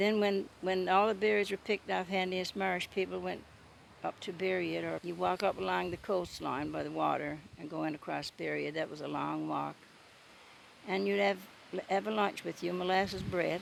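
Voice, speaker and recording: In a Newfoundland accent, a woman talks at a moderate pace. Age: 80s+. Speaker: storyteller. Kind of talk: casual talk to camera, reminiscence.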